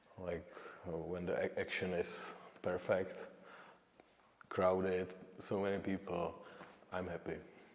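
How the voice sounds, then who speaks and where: A man with a Czech accent at a fairly slow pace, with long, frequent pauses. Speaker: painter. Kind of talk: interview. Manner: halting.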